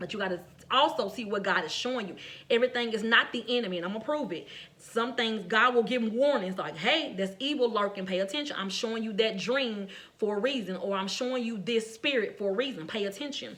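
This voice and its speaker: Speaking very fast, a woman uses a fairly high pitch with ordinary variation. There is noticeable background noise and audible room echo. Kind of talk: sermon-style devotional message.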